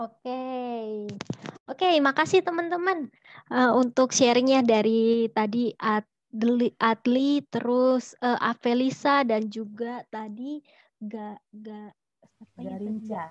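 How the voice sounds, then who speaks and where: The speech moves at a very slow pace. Loudness swings widely against a quiet background. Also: woman, high pitch for a woman, ordinary pitch variation, dry sound with no echo. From Solo, Central Java, Indonesia; Central Java, Indonesia. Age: 30s. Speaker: career counselor; webinar host, presenter. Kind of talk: online seminar talk. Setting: video call. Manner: animated. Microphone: earbuds.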